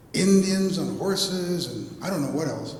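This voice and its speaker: An animated man speaks in a high pitch, with audible room echo and noticeable background noise. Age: 70s. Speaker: poet. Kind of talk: panel discussion. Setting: gallery talk with audience.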